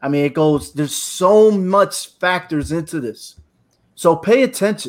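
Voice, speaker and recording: A man with a high-pitched voice talks at a moderate pace. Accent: American. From New Britain, Connecticut. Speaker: military veteran, podcast panelist. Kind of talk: panel discussion.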